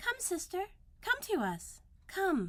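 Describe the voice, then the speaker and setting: Using a put-on character voice, a woman squeaks at an extremely high pitch. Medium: read story. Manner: sweet, beckoning.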